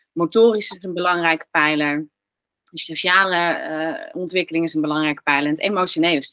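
Using a plain, everyday voice, a woman talks at a fairly quick pace and fairly low pitch, her intonation fairly even while her loudness swings widely. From Netherlands. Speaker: relationship coach and psychologist. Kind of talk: interview conversation.

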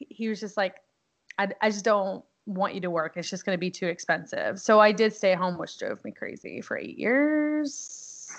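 Against a quiet background, a woman with an American accent and an unremarkable speaking voice talks at a fairly high pitch and fairly slow pace, with ordinary pitch variation and big swings in loudness. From Texas (Houston area). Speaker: Navy veteran, military spouse. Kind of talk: casual interview.

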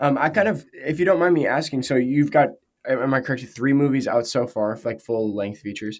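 A man talks at medium pitch with a plain, everyday voice. He keeps a fairly quick pace and lively intonation. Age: young. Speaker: podcast host. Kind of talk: scripted narration; casual interview chat.

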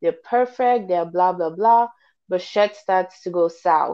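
An unremarkable speaking voice from a woman, fairly slow in pace, with lively intonation. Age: 20s. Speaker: podcast co-host. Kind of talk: casual chat.

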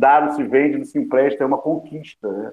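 A man with an unremarkable speaking voice, fairly high pitch and moderate pace. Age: 50s. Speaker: journalist and news agency founder. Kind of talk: panel discussion.

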